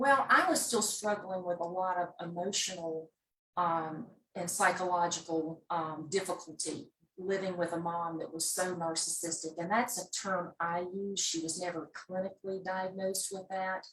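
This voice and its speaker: A woman with a Southern US accent, moderate pace and fairly even intonation. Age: 60s. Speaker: memoir author. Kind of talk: interview. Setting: video call.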